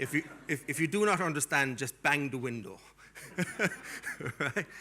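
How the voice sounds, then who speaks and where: Here is a man with a strong Irish accent and a fairly high pitch. His tone is bright and sharp, and his pace is moderate. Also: lively intonation. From Ireland. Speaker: academic keynote speaker. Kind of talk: keynote speech. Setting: conference stage with audience and translators. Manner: energetic.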